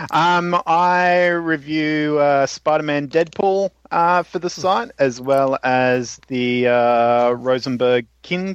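Very slowly, a man talks with an Australian accent and ordinary pitch variation. The background is quiet, and the sound is dry and close with no echo. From Australia, Melbourne. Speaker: comic book reviewer. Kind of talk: casual chat.

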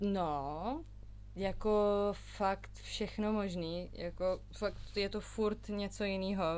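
A woman at a very slow pace, her loudness very even throughout. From Czech Republic, Prague. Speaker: singer-songwriter. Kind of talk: casual chat.

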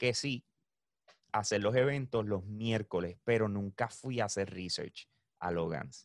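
A man uses a plain, everyday voice at a fairly low pitch with ordinary pitch variation. He speaks at a fairly slow pace, and the sound is dry and close with no echo. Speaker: esports and gaming event organizer. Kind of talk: casual chat.

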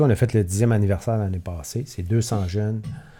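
On a very clean recording with a silent background, a man speaks in a dark, mellow, somewhat breathy tone at fairly low pitch. His pace is fairly quick and his pitch variation ordinary. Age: 50s. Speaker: long-distance cyclist and charity event organizer. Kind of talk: casual chat.

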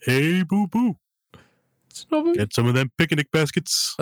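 Using a put-on character voice, a man talks at a high pitch and a moderate pace. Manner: cartoon mimicry.

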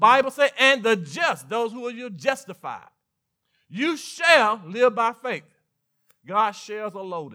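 Speaking at a fairly slow pace with a Mississippi accent, a man uses a raised, projected voice of extremely high pitch, with lively intonation, a bright, sharp tone and big swings in loudness. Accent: Mississippi Southern. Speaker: pastor. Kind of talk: sermon. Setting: church.

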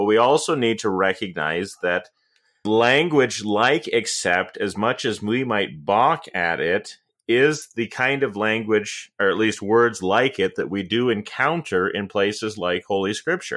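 Speaking at a fairly slow pace, a man with an American accent uses lively intonation at a fairly low pitch. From US Midwest. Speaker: pastor and podcast host. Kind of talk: casual discussion.

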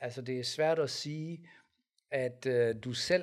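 A man with a plain, everyday voice, medium in pitch, with ordinary pitch variation. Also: very clean recording, silent background. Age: 50s. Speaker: pastor and podcast co-host. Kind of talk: casual debate.

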